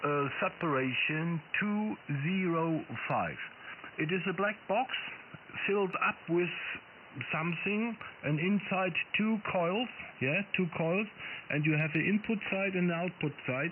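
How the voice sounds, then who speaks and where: Speaking at a fairly slow pace with long, frequent pauses, a man with a high pitch keeps his loudness very even and his pitch variation ordinary. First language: non-English. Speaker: ham radio operator. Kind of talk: amateur radio contact.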